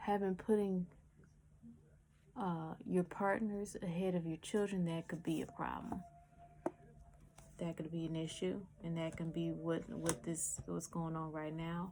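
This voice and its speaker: Long, frequent pauses and fairly even intonation. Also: woman, fairly low pitch for a woman. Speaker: tarot reader. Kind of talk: tarot reading. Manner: fast.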